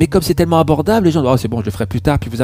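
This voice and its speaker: Music plays in the background. The speaker's intonation is lively. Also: man. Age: 50s. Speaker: naturopath and meditation teacher. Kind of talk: interview, spiritual conversation. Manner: hesitant, many fillers.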